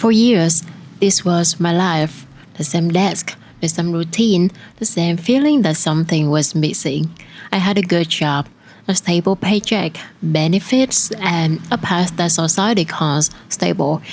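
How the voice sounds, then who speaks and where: In an ordinary speaking voice, a woman talks at a fairly slow pace, her pitch fairly low with ordinary variation and her loudness very even. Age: 20s. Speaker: photographer. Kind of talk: personal vlog narration.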